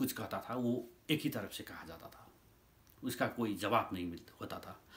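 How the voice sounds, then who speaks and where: The man's intonation rises and falls in a lively way. His pitch sits in the medium range. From Nepal. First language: Nepali (speaking Hindi). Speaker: YouTuber commentator. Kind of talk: opinion monologue. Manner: halting.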